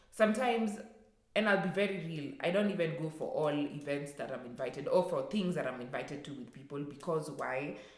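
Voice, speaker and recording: With lively intonation, a woman speaks at a very deep, low pitch amid audible room echo. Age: 20s. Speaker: vlogger. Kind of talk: personal rant vlog. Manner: halting, many fillers.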